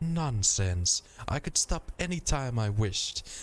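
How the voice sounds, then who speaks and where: Growling in a put-on character voice, the speaker goes at a fairly slow pace with very wide pitch swings. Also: man, medium pitch for a man. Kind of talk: haughty, formal. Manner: snarling, defensive.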